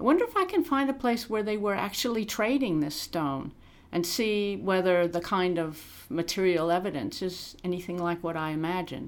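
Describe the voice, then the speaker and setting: With an American accent, a woman speaks in an ordinary speaking voice at a medium pitch and moderate pace, with lively intonation. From US Midwest, Illinois. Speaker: archaeologist. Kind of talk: interview.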